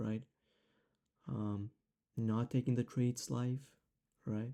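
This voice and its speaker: Speaking with a non-native accent, a man has a dark, mellow tone at medium pitch. He goes at a fairly slow pace with fairly even intonation. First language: not English. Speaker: trading educator. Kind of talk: tutorial. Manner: casual, many fillers.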